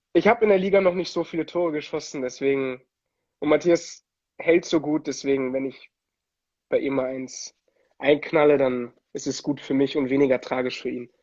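Moderately paced speech from a man, fairly high in pitch, with ordinary pitch variation and frequent long pauses. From Germany, Italian family. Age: 20s. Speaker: ice hockey player and musician. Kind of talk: casual interview. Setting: Instagram livestream.

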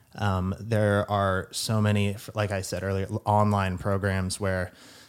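In a very clean recording with a silent background, a man with a normal speaking voice and fairly low pitch speaks at a fairly slow pace. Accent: American. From Kentucky and Texas. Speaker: psychiatry resident. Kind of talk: casual chat.

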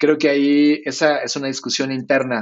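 This man's fairly high voice moves at a fairly slow pace, an unremarkable speaking voice. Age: 40s. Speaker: design company founder. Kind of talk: interview conversation.

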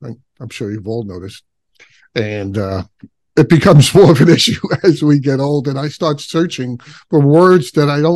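A man with an ordinary speaking voice, fairly high in pitch, with lively intonation and a moderate pace. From Brooklyn, New York. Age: 60s. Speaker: podcast host. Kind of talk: podcast interview.

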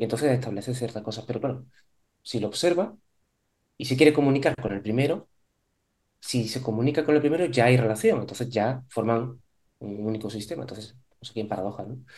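A man's somewhat breathy, medium-pitched voice goes at a fairly quick pace with ordinary pitch variation. His loudness swings widely, and he leaves long, frequent pauses. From Spain, Córdoba (Andalusia). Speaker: psychologist, psychotherapist. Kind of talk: interview conversation.

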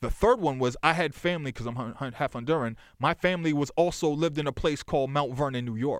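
In a very clean recording with a silent background, a man with a fairly high pitch talks at a very fast pace with ordinary pitch variation. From Boston, South End / Lower Roxbury. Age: 40s. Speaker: music journalist and historian. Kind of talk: casual chat. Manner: rapid, run-on speech.

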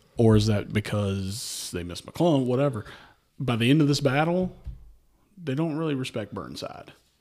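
On a very clean recording with a silent background, a man with a Shenandoah Valley accent speaks at medium pitch with lively intonation. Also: moderate pace. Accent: Shenandoah Valley (Virginia). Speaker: history guest, Civil War travel content creator. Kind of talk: casual chat about history and bourbon.

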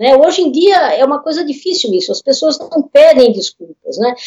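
A woman speaks with lively intonation. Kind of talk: casual interview on a livestream. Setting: video call livestream.

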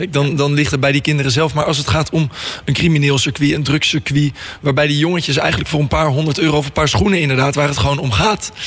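A man with a fairly high pitch talks very fast, his pitch varying in an ordinary way. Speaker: radio host. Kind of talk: radio interview. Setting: studio.

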